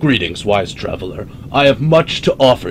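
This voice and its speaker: A man puts on a character voice at medium pitch, with very wide pitch swings and a moderate pace. Clear background noise can be heard. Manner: welcoming, inviting.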